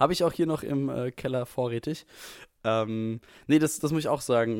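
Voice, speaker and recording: This man has a normal speaking voice at a medium pitch. He talks at a fairly quick pace with ordinary pitch variation. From Frankfurt, Hesse. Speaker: podcast co-host. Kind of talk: casual chat. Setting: video call from home.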